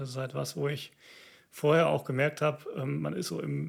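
A man talking at a moderate pace. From Siegerland, North Rhine-Westphalia, Germany. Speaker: orchestra violinist and church planter. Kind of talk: interview. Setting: video recording.

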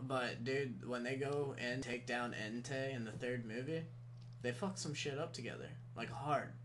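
A man at medium pitch with fairly even intonation and a moderate pace, audible room echo around him. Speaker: tattoo artist. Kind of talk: casual chat.

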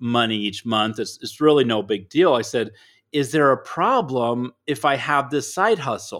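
A normal speaking voice talks at a moderate pace on a very clean recording with a silent background. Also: man. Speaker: author and speaker. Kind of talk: casual interview chat.

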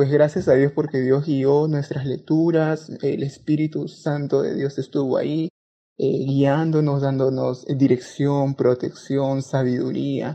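At a fairly slow pace, a man speaks with a fairly high pitch and fairly even intonation. His tone is dark and mellow. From Peru, Lima. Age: young. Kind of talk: testimony.

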